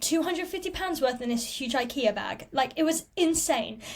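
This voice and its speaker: A woman's lively intonation with an English accent. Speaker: podcast host, cruise ship performer. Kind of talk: casual chat.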